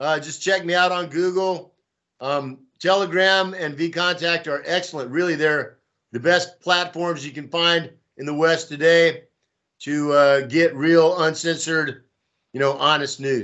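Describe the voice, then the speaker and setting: A man with an American accent talks at a fairly slow pace. His pitch is high and his intonation fairly even. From Texas. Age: 60s. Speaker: pro-Russian volunteer and blogger. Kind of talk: interview. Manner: casual, hesitant with fillers.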